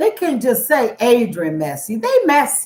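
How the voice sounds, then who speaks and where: The loud voice has an animated tone and moves at a fairly slow pace. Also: woman. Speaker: youtuber. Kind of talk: casual chat.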